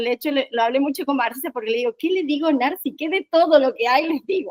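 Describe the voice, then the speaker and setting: A woman's high-pitched, very fast speech, dry and close with no echo. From Argentina, Córdoba. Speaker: workshop trainer. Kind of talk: online training session.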